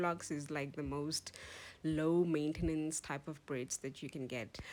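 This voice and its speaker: Music plays in the background as a woman speaks at a fairly slow pace. Her very deep, low pitch carries fairly even intonation. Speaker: hair tutorial vlogger. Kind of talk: tutorial vlog. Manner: casual, hesitant with fillers.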